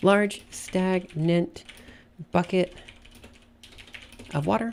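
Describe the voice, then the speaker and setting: Noticeable background noise sits under the voice. Delivery is very slow, with ordinary pitch variation. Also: woman, medium pitch for a woman. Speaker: streamer writing a story. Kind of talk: casual live-stream chat while writing. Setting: live stream. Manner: halting, many fillers.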